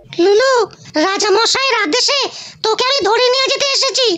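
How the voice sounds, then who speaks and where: A squeaky, cartoonish character voice at an extremely high pitch moves at a moderate pace. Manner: gruff, impatient.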